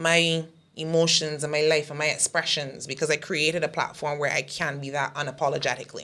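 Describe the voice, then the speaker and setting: Speaking fairly quickly, a woman uses a very deep, low pitch, a bright, sharp tone and a monotone, flat intonation. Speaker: comedian. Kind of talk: casual interview chat. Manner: aggressive tone.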